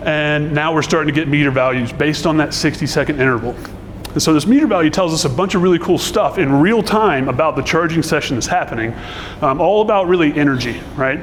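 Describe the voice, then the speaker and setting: Audible room echo and noticeable background noise surround a man talking at a very fast pace. His loudness stays very even, with ordinary pitch variation. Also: fairly high pitch for a man. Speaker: conference speaker, software engineer. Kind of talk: conference talk.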